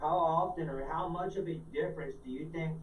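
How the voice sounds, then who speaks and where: A man speaks with a fairly high pitch. Noticeable background noise and audible room echo come through. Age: 40s. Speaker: holistic health consultant. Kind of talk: interview. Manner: fast; casual.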